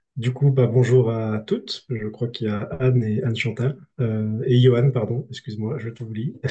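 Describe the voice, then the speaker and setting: This man's voice has a dark, mellow tone. It sounds somewhat breathy. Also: medium pitch for a man, moderate pace. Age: 30s. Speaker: speaker presenting a grassroots movement. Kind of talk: online conference talk; reading aloud his own text. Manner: hesitant, many fillers.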